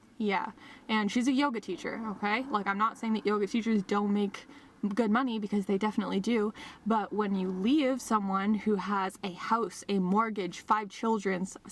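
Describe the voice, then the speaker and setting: Noticeable background noise behind a woman's medium-pitched voice at a moderate pace. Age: 20s. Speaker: vlogger. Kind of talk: casual vlog monologue. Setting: in a car. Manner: animated, chatty.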